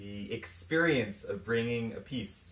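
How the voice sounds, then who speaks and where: In an American accent, a man with a fairly low pitch talks at a fairly slow pace amid audible room echo. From US, New York City. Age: 30s. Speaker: pianist. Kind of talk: prepared self-introduction. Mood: warm, enthusiastic. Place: home room. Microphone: phone near.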